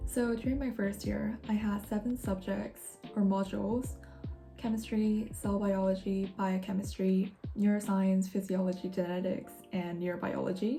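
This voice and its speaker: Over music in the background, a woman talks at a medium pitch and moderate pace with fairly even intonation. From Korean-Norwegian. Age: 20s. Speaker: university student. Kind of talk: casual talk to camera.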